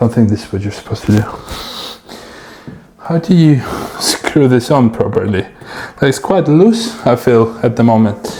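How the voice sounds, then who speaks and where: Against noticeable background noise, a man at a medium pitch talks at a moderate pace with long, frequent pauses. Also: ordinary pitch variation. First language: not English. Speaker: DIY video maker. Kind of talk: casual vlog narration while working. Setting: indoors, door open behind.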